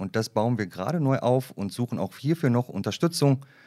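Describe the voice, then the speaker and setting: A man speaks with a dark, mellow tone at a medium pitch, and his intonation is lively. The recording is very clean with a silent background. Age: 40s. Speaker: HR development manager at a bank. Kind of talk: casual interview.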